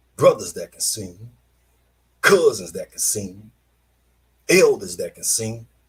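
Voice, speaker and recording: A man speaking at a very slow pace, broken by long, frequent pauses. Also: big swings in loudness. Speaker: online show host. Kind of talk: casual monologue. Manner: halting.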